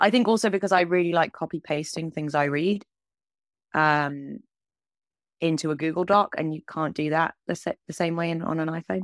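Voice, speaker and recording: A woman speaks with a southern English accent at a moderate pace, her pitch fairly low and her intonation fairly even. The sound is dry and close, with no echo. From England. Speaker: animator and TV director. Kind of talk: interview conversation.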